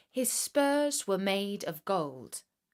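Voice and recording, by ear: Text read aloud in a natural voice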